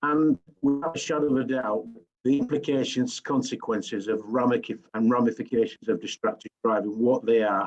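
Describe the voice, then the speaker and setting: Someone with a Yorkshire accent talks at a fairly quick pace with ordinary pitch variation and very even loudness. The sound is dry and close, with no echo. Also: man, medium pitch for a man. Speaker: driving safety expert. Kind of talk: webinar presentation. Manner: hesitant, many fillers.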